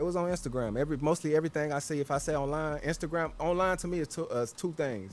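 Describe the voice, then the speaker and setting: A man with an American accent talks at a very fast pace with hardly any pauses, a fairly high pitch and ordinary pitch variation, while music plays in the background. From Texas, Houston. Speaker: podcast host. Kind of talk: casual chat. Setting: outdoors. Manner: animated.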